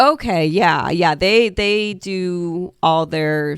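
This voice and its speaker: This very clean recording with a silent background features a speaker with an American accent and ordinary pitch variation. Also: woman. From Des Moines, Iowa, US Midwest. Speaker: comedian and show producer. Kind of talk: casual interview. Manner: halting, filler-heavy.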